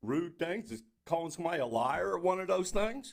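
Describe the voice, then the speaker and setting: An American-accented man. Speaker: citizen speaking at public comment. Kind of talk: heated debate. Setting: city council meeting, at the mic. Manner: loud; halting.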